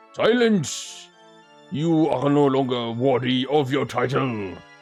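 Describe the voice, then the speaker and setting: Faint music plays in the background as a man uses a put-on character voice. His pitch is medium and his pace fairly slow. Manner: stern, commanding.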